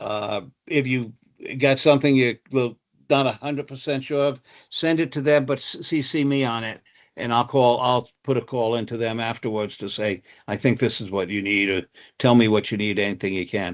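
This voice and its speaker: Against a quiet background, a man with a New Jersey accent speaks at a moderate pace and medium pitch. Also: ordinary pitch variation. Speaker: travel supplier representative. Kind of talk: webinar presentation. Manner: halting, many fillers.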